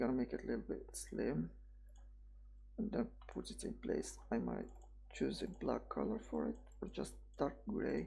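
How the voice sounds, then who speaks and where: The speaker has a non-native accent and a moderate pace. Long pauses come often. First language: not English. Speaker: 3D software tutorial creator. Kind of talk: tutorial. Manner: halting, self-correcting; casual.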